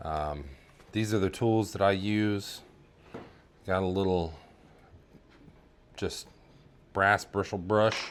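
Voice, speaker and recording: In a relaxed tone, a man with a fairly low voice speaks very slowly and with fairly even intonation, leaving long, frequent pauses. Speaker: army veteran, 3D print farm owner. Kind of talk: casual tutorial talk to camera. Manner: casual, relaxed.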